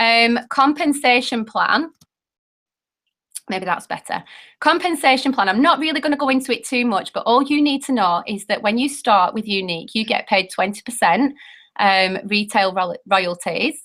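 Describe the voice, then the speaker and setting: A woman with a British accent, fairly high in pitch, at a moderate pace with lively intonation. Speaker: network marketing presenter. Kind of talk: sales pitch. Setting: video call. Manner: animated.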